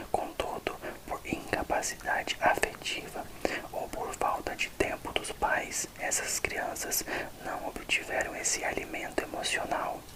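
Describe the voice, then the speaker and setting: Noticeable noise fills the background. Over it, a man whispers. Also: fairly slow pace. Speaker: ASMR creator. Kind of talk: ASMR book reading for relaxation. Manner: whispered.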